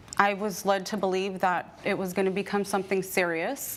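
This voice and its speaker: A woman speaks with a Californian accent. Her pitch is medium. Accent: Californian American. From US West Coast, Bay Area. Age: 30s. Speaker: plaintiff. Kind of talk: courtroom testimony. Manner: formal.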